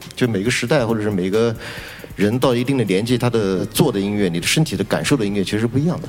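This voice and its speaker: Noticeable background noise fills the clip. Over it, a man talks at a very fast pace. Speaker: rock musician. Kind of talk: panel discussion. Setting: stage with audience.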